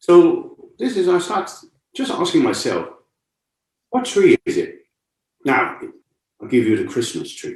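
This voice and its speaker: A man with a Cantonese accent and an extremely high pitch speaks fairly slowly with very wide pitch swings and long, frequent pauses, amid audible room echo. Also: big swings in loudness. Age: 60s. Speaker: martial arts and meditation teacher. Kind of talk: lecture. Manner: conversational, with repeated rhetorical questions.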